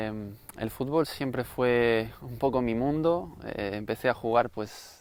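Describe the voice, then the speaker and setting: A man talks at a very slow pace and medium pitch. His pitch variation is ordinary. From Spain, Galicia (Santiago de Compostela). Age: 30s. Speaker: interviewee giving faith testimony. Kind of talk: testimony. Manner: halting, many fillers.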